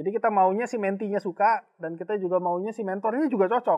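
Over a quiet background, the speech moves at a very fast pace with ordinary pitch variation. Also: man. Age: 40s. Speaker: company executive and mentor. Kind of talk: casual online talk show. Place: studio. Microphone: lapel.

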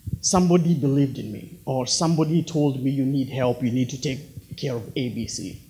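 Somewhat breathy and fairly high-pitched, a man speaks at a fairly slow pace with a dark, mellow tone and ordinary pitch variation. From Kenya, near Nairobi. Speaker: speaker sharing personal story; speaker. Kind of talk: inspirational talk. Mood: earnest, reflective. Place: hall. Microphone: handheld.

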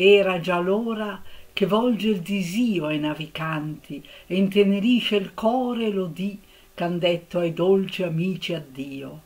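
Heard here is a woman with a normal speaking voice, a medium pitch and ordinary pitch variation. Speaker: literature lecturer. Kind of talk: poetry reading.

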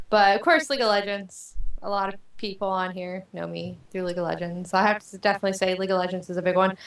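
A woman talks very fast, with audible room echo over a quiet background. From Panama. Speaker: gamer, guest; guest. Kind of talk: interview. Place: home room. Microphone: video call.

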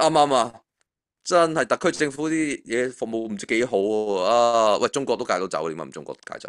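Very wide pitch swings from a man speaking at a fairly quick pace. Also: quiet background. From Hong Kong. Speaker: finance author. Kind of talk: casual chat. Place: home room. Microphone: video call.

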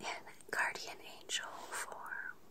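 A woman whispers in a gentle tone. She goes at a very slow pace. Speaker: relaxation content creator. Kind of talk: soothing bedtime role-play talk. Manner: gentle whispered guardian-angel voice. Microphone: phone near.

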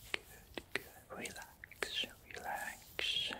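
A soft-spoken whisper carries a soothing tone. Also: man. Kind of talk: soft spoken roleplay. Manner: soft soothing whisper. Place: home room.

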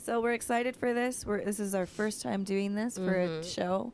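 A woman speaks in a plain, everyday voice at a medium pitch with ordinary pitch variation. The sound is dry with no echo, over light background noise. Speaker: reaction video co-host. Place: home room. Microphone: handheld.

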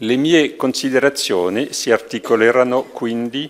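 A man with a French accent, at a fairly slow pace. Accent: French accent in Italian. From France. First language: French (speaking Italian). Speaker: university head giving a lecture. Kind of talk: formal lecture. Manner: formal. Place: hall. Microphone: podium.

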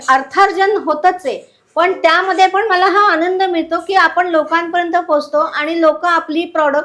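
This woman's voice sits at an extremely high pitch. Her intonation is fairly even. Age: 60s. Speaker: home seamstress selling puja goods. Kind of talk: product demonstration.

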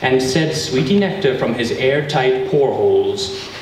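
The speech goes at a fairly slow pace, with noticeable background noise and audible room echo. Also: man. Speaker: event host giving an introduction. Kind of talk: humorous prepared reading. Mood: playful, mock-dramatic. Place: hall. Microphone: camera far.

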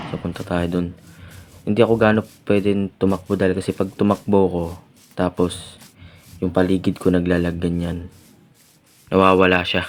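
A man with a very deep, low voice speaks in a flat monotone at a moderate pace. He leaves long, frequent pauses. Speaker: gaming youtuber. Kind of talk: let's play commentary.

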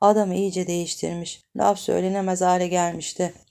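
A woman with a dark, mellow tone at a moderate pace, on a very clean recording with a silent background. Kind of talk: audiobook reading of a novel, read aloud. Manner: expressive narrator, voicing the dialogue of different characters.

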